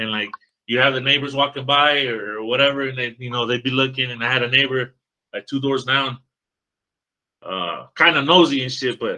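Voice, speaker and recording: Loud and with a bright, sharp tone, a man speaks at a fairly quick pace and medium pitch with fairly even intonation. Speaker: podcast host, trucking industry worker. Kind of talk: casual chat.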